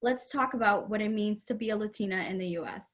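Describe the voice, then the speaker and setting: A woman talks in a somewhat breathy voice. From Springfield, Massachusetts (born in Puerto Rico). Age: 20s. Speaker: college student and aspiring cybersecurity professional. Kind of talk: prepared talk. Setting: virtual session from home.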